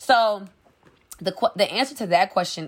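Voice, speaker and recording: In an unremarkable speaking voice, a woman with an American accent talks at a fairly quick pace with lively intonation. The recording is very clean, with a silent background. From New Orleans, Louisiana, US South. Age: 20s. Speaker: entrepreneur, clothing brand founder. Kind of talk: podcast interview.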